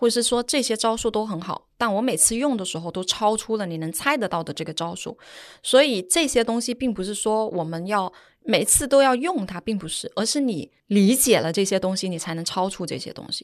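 Against a quiet background, a woman speaks at a fairly quick pace in a fairly high voice, her tone relaxed and her intonation lively. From Guangdong, China. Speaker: advertising executive. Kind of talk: interview. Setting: studio.

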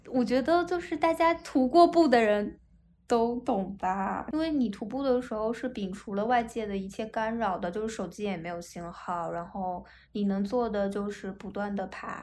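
Speaking at a moderate pace, a woman with a medium pitch has an unremarkable speaking voice. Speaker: state-owned company office worker. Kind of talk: casual chat.

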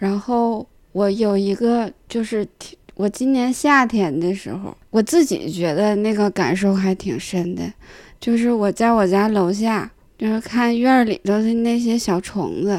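A woman with a Northeastern Chinese accent and a fairly high pitch speaks at a fairly slow pace in a very clean recording with a silent background. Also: ordinary pitch variation. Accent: Northeastern Mandarin. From Northeast China, Jinzhou. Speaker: stand-up comedian. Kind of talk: casual chat.

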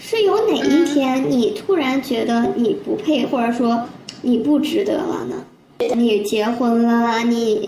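A woman with a high pitch at a very slow pace, amid noticeable background noise and audible room echo. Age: 30s. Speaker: civil servant. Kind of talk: casual chat.

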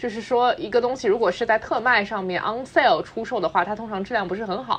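A woman speaks with an ordinary speaking voice at a fairly high pitch. Her intonation is lively and her pace fairly quick. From Shanghai. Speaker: podcast host. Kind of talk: casual chat. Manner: fluent, code-switching Mandarin and English.

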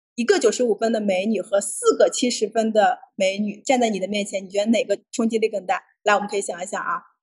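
A somewhat breathy woman at a very fast pace, fairly high in pitch with ordinary pitch variation. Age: 30s. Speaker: entrepreneur, founder of a senior fashion group. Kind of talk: livestream talk sharing business experience. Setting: livestream.

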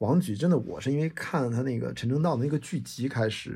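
A man speaks at a medium pitch with a dark, mellow tone and some vocal fry. The recording is very clean, with a silent background. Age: 40s. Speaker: podcast host. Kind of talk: solo monologue. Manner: animated.

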